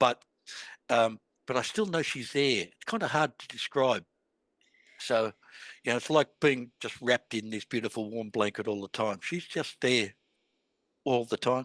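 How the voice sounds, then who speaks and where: In a dry, close sound with no echo over a quiet background, a man speaks at a moderate pace and medium pitch, with ordinary pitch variation, big swings in loudness and long, frequent pauses. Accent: Australian. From Australia. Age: 60s. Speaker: author. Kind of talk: interview. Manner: halting, with many false starts.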